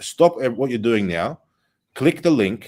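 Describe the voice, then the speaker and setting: A man speaks with an Australian accent, keeping to a moderate pace. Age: 30s. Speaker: political broadcaster. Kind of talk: live political talk show. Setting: studio in a consulate building. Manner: animated.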